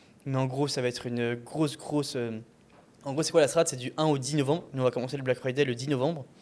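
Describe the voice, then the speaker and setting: A man's very fast, flat, monotone speech over noticeable background noise. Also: medium pitch for a man. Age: 20s. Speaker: e-commerce entrepreneur. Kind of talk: casual chat.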